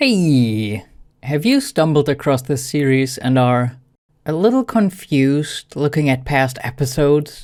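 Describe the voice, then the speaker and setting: A woman with a German accent speaks fairly slowly, her pitch swinging very widely, on a very clean recording with a silent background. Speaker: gaming YouTuber. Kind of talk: casual explanation to viewers; game commentary recap.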